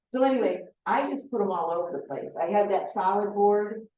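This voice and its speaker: A woman uses an ordinary speaking voice, with ordinary pitch variation, at a moderate pace. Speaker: beekeeping presenter. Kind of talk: lecture.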